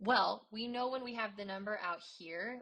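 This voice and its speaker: This woman's voice has a bright, sharp tone and lively intonation. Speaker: math teacher. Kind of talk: tutorial.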